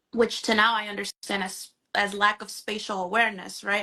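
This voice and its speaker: A woman speaks with a Spanish accent at a medium pitch. Her tone is bright and sharp. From Honduras. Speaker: mental health therapist. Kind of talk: live interview conversation. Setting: Instagram live video stream.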